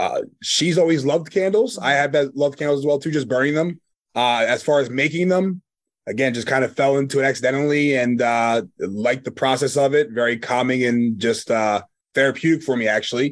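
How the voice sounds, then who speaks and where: The man speaks with a Philadelphia accent at a fairly high pitch. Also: ordinary pitch variation, fairly quick pace. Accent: Philadelphia-area American. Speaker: small business owner. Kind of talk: casual interview. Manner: hesitant, many fillers.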